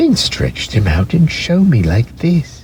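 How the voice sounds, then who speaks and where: A man uses a put-on character voice at a medium pitch. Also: fairly slow pace. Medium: read story. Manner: lively, teasing.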